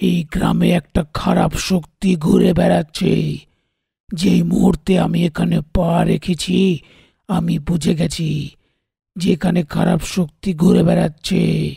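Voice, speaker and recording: Using a raspy, cartoonish character voice, a man speaks at a very slow pace with very even loudness, the sound dry and close with no echo. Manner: authoritative, stern.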